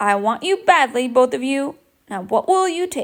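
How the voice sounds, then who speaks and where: A woman puts on a high-pitched character voice, moving at a moderate pace with very wide pitch swings. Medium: read story. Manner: boisterous, excitable.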